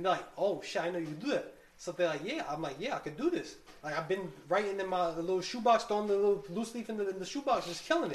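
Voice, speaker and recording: The delivery is very fast, with lively intonation. Room echo is audible. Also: woman. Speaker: rapper. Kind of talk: casual chat.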